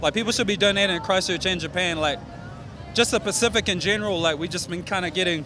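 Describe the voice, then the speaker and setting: With music in the background, a man in a New Zealand accent talks at a very fast pace in a high pitch, with ordinary pitch variation. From New Zealand, South Auckland. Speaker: rapper. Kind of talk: interview. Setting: festival interview. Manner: casual, filler-heavy.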